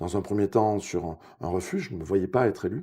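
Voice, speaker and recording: The recording is very clean with a silent background. A man speaks at a fairly quick pace with a fairly low pitch and a dark, mellow tone. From southwest France, Ariège (Pyrenees). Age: 50s. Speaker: local politician, mayoral candidate. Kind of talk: political interview. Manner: hesitant, many filler sounds.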